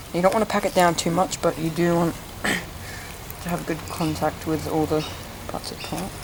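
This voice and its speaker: A man speaks in a high pitch with monotone, flat intonation. His pace is moderate, and there is noticeable background noise. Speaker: plant hobbyist youtuber. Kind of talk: tutorial. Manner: not speaking loudly; casual, hesitant with fillers.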